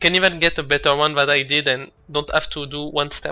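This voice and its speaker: Over music in the background, a man with a fairly high voice speaks at a moderate pace. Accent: non-native. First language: not English. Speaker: speedrunner. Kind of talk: gameplay commentary. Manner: hesitant.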